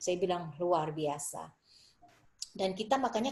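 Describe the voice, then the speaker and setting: Speaking at a moderate pace, a woman has a plain, everyday voice of medium pitch. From Indonesia. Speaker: Indonesian diaspora writer and dancer. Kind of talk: interview conversation.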